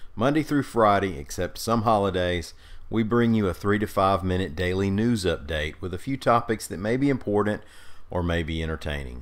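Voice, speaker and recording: A man talks with lively intonation. He has an ordinary speaking voice. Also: fairly low pitch for a man, moderate pace. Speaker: news podcast host. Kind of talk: news podcast intro.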